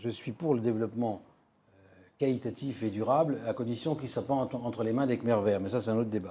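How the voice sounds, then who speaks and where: At a very fast pace, a man speaks with a dark, mellow tone, medium pitch and fairly even intonation. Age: 60s. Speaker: economist and futurist lecturer. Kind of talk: lecture. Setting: conference hall with audience.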